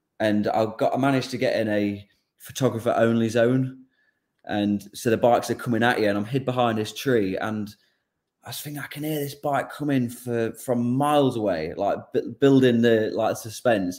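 Intonation stays fairly even. A man speaks with an English accent. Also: medium pitch for a man, moderate pace. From England. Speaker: motorcycle racer. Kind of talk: casual chat. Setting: video call.

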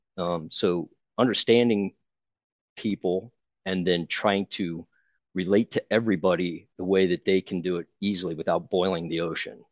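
With an American accent, a man speaks at a moderate pace in a very deep, low pitch with fairly even intonation, the sound dry and close with no echo against a quiet background. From Ohio, Akron. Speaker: youth baseball coach. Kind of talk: interview podcast. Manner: hesitant, repeats words.

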